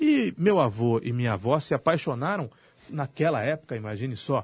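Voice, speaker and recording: Over a quiet background, a man speaks at a moderate pace. His voice is medium in pitch and somewhat breathy. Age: 40s. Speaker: radio host. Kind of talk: casual radio debate.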